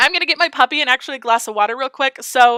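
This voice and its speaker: A woman with a high, raised, projected voice, animated and bright and sharp in tone, at a very fast pace in a dry, close recording with no echo. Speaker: game streamer. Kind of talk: live stream chat.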